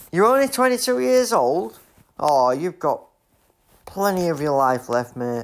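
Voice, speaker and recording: In a Yorkshire accent, a man with a fairly high pitch speaks at a fairly slow pace, with very wide pitch swings and long, frequent pauses, on a very clean recording with a silent background. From Leeds, Yorkshire, northern England. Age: 30s. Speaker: gaming streamer. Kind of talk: live gameplay stream chat. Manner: casual, chatty.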